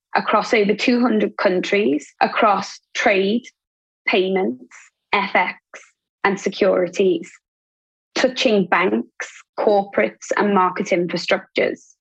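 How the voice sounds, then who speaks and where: Speaking very slowly with long, frequent pauses, a woman at medium pitch uses vocal fry, very even loudness and ordinary pitch variation. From northern England, Liverpool. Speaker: trade finance executive. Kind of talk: interview.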